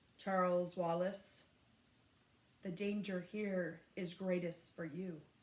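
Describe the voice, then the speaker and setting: Using a put-on character voice, a woman speaks at medium pitch in a gentle, creaky tone with monotone, flat intonation, moving at a fairly slow pace with long, frequent pauses. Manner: gentle, grave warning.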